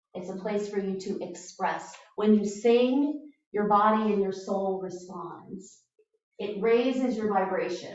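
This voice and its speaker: A woman talks at a fairly slow pace with ordinary pitch variation. Room echo is audible, and music plays in the background. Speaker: shamanic ceremony leader. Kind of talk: guided drumming ceremony instruction. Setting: group ceremony, camera recording.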